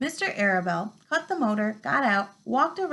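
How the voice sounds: The text is read in a natural voice. The delivery sounds like reading.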